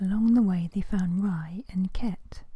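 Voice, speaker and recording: The speaker whispers in a soft-spoken way at a fairly slow pace. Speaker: ASMR storyteller. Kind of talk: soft-spoken bedtime story narration. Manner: soft-spoken, whispery, relaxing.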